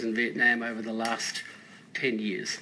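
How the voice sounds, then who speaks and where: The tone is bright and sharp. The speech comes with an Australian accent. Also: man. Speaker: school principal. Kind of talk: radio panel interview.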